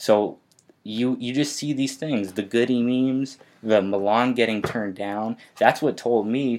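A man's medium-pitched, fairly even delivery in a normal speaking voice, on a very clean recording with a silent background. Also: fairly slow pace. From Canada, Winnipeg. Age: 20s. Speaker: DJ and recording artist. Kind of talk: interview. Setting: studio.

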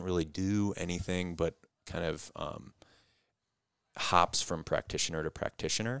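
At a moderate pace, a man talks with a very deep, low pitch and fairly even intonation, the sound dry and close with no echo. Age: 30s. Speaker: physical therapist. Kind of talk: casual chat. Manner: hesitant, many fillers.

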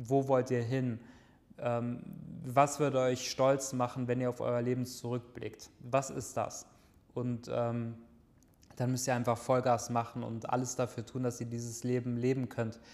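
A man's medium-pitched, monotone voice with flat intonation, fairly slow in pace, broken by long, frequent pauses. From Germany, Lower Rhine near Düsseldorf. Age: 20s. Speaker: online entrepreneur and podcast host. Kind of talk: solo podcast monologue. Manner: casual with many filler sounds.

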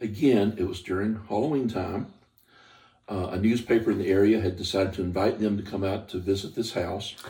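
In an American accent, a man talks at a fairly quick pace with a fairly low pitch and a dark, mellow, somewhat breathy tone. The recording is very clean, the background silent. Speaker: paranormal investigator. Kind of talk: casual chat. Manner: halting.

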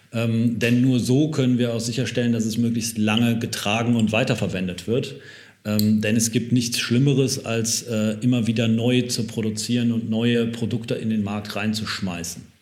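A man speaks at a moderate pace with a medium pitch and fairly even intonation. Audible room echo surrounds his voice. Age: 30s. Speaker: fashion company founder. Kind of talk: interview. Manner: halting, many fillers; relaxed.

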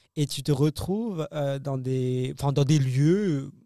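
A man speaks at a fairly high pitch in a dark, mellow tone. The sound is dry and close with no echo, on a very clean recording with a silent background. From France, Paris. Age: young. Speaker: comedian. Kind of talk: casual interview. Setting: studio.

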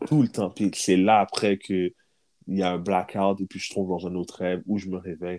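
A man's very deep, low voice, fairly even in intonation at a moderate pace, on a very clean recording with a silent background. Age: 30s. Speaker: podcast co-host. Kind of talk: casual chat.

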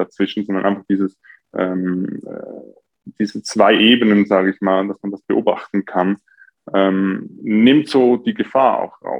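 A man's normal speaking voice, fairly low in pitch, at a fairly slow pace with fairly even intonation. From Switzerland, near Zurich. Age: 20s. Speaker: coach for taking action. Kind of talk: podcast interview.

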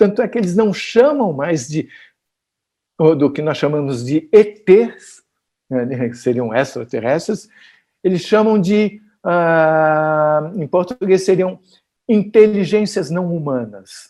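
A man with a high pitch and a dark, mellow tone, lively intonation, a very slow pace and long, frequent pauses, in a very clean recording with a silent background. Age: 60s. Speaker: physicist. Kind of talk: interview.

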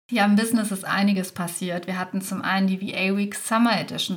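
A woman's voice comes across as somewhat breathy. Her intonation stays fairly even. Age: 30s. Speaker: podcast host and business mentor for virtual assistants. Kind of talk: solo podcast monologue.

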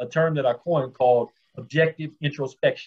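Somewhat breathy, the man talks at a fairly quick pace with fairly even intonation. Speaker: formerly incarcerated reentry advocate. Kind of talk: interview.

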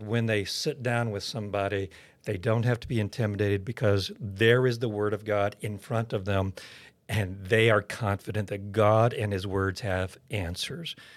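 A man with an American accent talks at a moderate pace in a plain, everyday voice, with ordinary pitch variation on a very clean recording with a silent background. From Oklahoma. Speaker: seminary president and pastor. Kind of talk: interview testimony.

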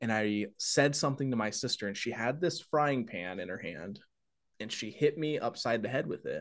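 A plain, everyday voice from a man, medium-pitched with lively intonation at a moderate pace, against a quiet background. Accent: American. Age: 20s. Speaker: horse racing track announcer. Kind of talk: casual interview.

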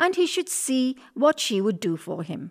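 An animated, gentle tone with very wide pitch swings comes at a fairly slow pace, in a very clean recording over a silent background. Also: woman. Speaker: storyteller. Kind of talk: fairy-tale narration for children. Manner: animated, gentle storytelling with character voices.

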